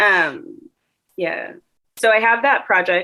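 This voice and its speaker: A woman with an American accent. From Chicago suburbs. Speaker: singer. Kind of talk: interview answer. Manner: casual.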